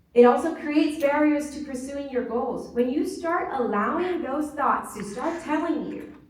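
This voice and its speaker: A woman with an American accent speaks at a moderate pace in a high voice, hardly pausing, with ordinary pitch variation, big swings in loudness and noticeable background noise. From Mexican heritage, US. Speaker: marketing strategist and conference speaker. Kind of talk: conference keynote talk.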